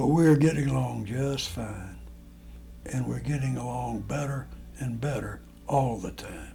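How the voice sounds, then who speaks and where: A man speaks at a fairly slow pace in a fairly low pitch with very wide pitch swings. Audible room echo is present. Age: 80s+. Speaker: elderly man recording family memories. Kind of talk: casual personal monologue. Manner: halting, with many fillers and restarts.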